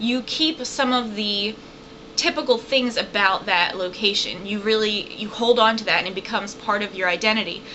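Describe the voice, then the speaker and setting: Over noticeable background noise and audible room echo, a woman speaks at a moderate pace and fairly high pitch with ordinary pitch variation. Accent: American. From southern Virginia. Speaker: college professor. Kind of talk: recorded lecture. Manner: casual, conversational.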